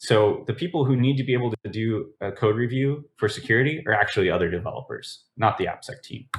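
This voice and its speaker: This man's voice is somewhat breathy and sits at medium pitch. Its pitch variation is ordinary. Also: very clean recording, silent background. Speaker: conference speaker on application security. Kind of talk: conference talk. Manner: fast.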